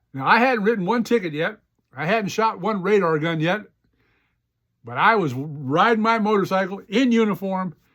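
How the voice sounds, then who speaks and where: This man has a high pitch and an animated tone. He speaks at a moderate pace with lively intonation. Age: 70s. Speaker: podcast host, retired police officer and writer. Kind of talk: personal storytelling monologue.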